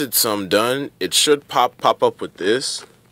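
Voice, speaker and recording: The sound is dry and close, with no echo. A man talks at a very slow pace. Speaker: tech tutorial youtuber. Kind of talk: tutorial. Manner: halting.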